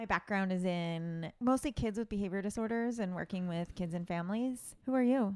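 A woman with an unremarkable speaking voice talks at a fairly quick pace, with hardly any pauses and ordinary pitch variation. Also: medium pitch for a woman. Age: 30s. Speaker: school psychologist and podcast co-host. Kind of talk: casual chat. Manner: frequent laughter.

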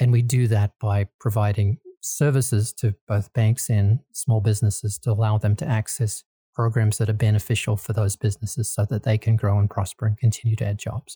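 A man with an American accent speaks fairly quickly at a fairly low pitch, his tone dark, mellow and somewhat breathy, his intonation fairly even, in a dry, close recording with no echo. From Australia. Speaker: nonprofit lending executive. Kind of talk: interview.

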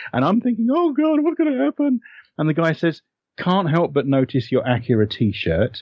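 A man with a British accent talks at a fairly quick pace. His pitch swings very widely. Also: very clean recording, silent background. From Britain. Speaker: author and anime historian. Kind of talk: interview.

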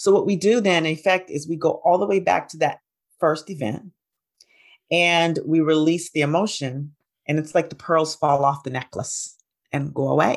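A woman with an American accent speaks in a normal speaking voice, fairly low in pitch. Her pace is moderate and her pitch variation ordinary. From US South, Alabama. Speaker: integrative physician and hypnosis trainer. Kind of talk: interview.

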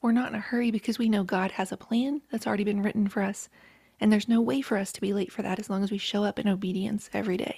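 A woman speaks very fast in a dark, mellow, somewhat breathy tone at a medium pitch. Her intonation stays fairly even. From rural West Virginia, Appalachia. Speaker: author and podcaster. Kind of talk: casual interview.

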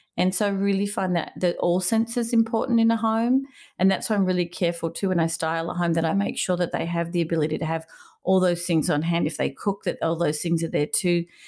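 In an Australian accent, a woman with a dark, mellow, fairly low voice speaks very fast at a very even volume with normal pitch movement, recorded very cleanly against a silent background. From Melbourne, Australia. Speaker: interior designer. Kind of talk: interview conversation.

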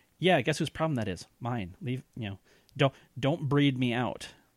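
A very clean, silent-background recording with lively intonation at a moderate pace. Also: man. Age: 30s. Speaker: podcaster and comedy group director. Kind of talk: casual chat. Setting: podcast interview. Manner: halting.

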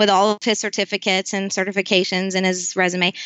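In a monotone, flat intonation, a woman speaks at a medium pitch. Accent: Southern US. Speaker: nonprofit founder, military spouse. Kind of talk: interview. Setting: video call.

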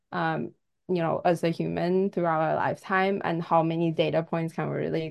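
A woman with a Chinese accent, against a quiet background. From China. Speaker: tech company co-founder and CTO. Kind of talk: casual interview chat.

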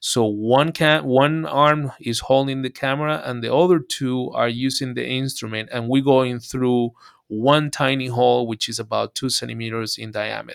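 On a very clean recording with a silent background, a man speaks at a moderate pace. His pitch is medium and he leaves hardly any pauses. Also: fairly even intonation. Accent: Spanish. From Venezuela. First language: Spanish. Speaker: urologist. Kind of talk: interview.

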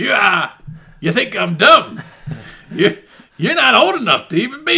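Using a gruff put-on character voice, a man speaks at a moderate pace with a high pitch.

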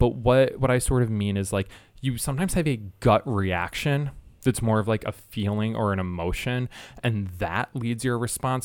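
Over a very clean recording with a silent background, a man with an American accent speaks at a moderate pace in a normal speaking voice, medium in pitch with lively intonation. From Michigan, US Midwest. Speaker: sex educator. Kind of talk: interview.

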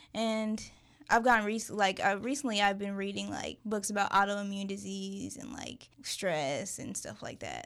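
A woman with an unremarkable speaking voice talks at medium pitch and a moderate pace on a very clean recording with a silent background. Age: 20s. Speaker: book subscription box founder. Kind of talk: casual interview.

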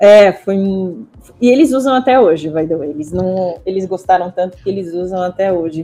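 A woman's dark, mellow tone at a medium pitch, moderate in pace, with ordinary pitch variation. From Israel. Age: 40s. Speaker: university representative. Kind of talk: interview.

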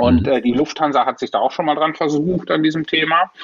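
This man's voice sits fairly high in pitch. Vocal fry runs through it. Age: 50s. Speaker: management consultant and airline pilot. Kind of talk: interview. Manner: hesitant with frequent fillers.

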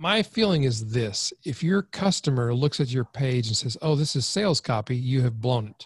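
Against a quiet background, a man speaks at a moderate pace in a medium pitch, somewhat breathy, with lively intonation and a dry, close sound free of echo. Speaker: copywriting expert. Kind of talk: interview.

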